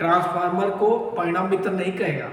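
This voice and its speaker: Speaking fairly slowly, a man is heard through audible room echo and noticeable background noise. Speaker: technical exam teacher. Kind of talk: lecture. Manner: repetitive, rhetorical questioning.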